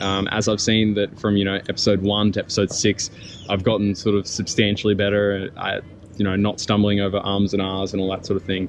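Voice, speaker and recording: A man in an Australian accent moves at a fairly quick pace, his pitch fairly low. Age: 20s. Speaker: small business owner, vlogger. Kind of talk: casual vlog monologue. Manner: halting, many ums.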